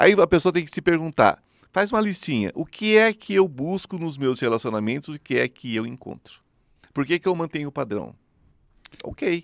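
With big swings in loudness and very wide pitch swings, a man speaks in a dry sound with no echo. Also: moderate pace, quiet background. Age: 50s. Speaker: spiritual medium; podcast guest. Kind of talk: interview. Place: studio. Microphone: studio mic.

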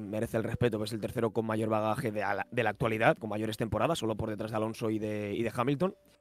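A man talking at a very fast pace, dry sound with no echo. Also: hardly any pauses. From Spain, Valencia; Spain. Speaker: motorsport live commentator and YouTuber; motorsport live commentator, YouTuber. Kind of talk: casual chat. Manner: halting. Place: home room. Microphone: studio mic.

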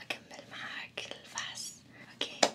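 A woman whispers in a gentle tone. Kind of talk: role-play bedside talk to viewer. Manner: soft, gentle ASMR voice.

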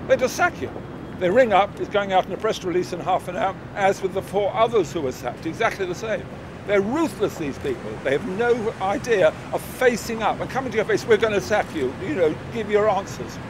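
Lively intonation at a fairly quick pace comes through a dry sound with no echo and noticeable background noise. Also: man. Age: 70s. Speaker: horse racing pundit. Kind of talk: interview answer.

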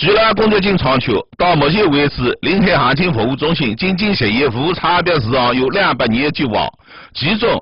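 A man with a Zhejiang accent talks at a moderate pace in a fairly high pitch, his voice making very wide pitch swings while his loudness stays very even. Noticeable background noise runs under the recording. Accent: Taizhou Wu dialect. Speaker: news show host. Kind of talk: local news programme presented in Taizhou dialect.

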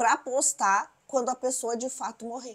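A woman with an animated tone at a fairly slow pace, against a quiet background. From Brazil. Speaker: celebrity gossip YouTuber. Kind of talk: news recap monologue. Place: home room. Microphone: lapel.

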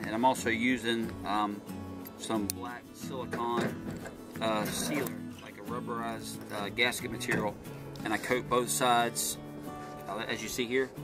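Over clear background music, a man talks at a moderate pace with ordinary pitch variation and long, frequent pauses. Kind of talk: tutorial. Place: garden. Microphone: phone near.

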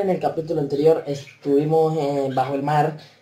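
The man's speech carries audible room echo and a light layer of background noise. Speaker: gaming youtuber. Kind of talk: gameplay commentary. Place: home room.

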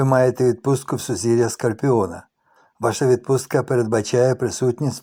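A natural voice reading aloud over a quiet background

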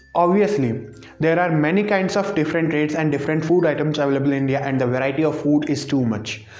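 Audible room echo surrounds this man's voice. His pitch varies in an ordinary way. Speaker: vlogger. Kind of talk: casual vlog chat. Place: home room. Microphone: lapel.

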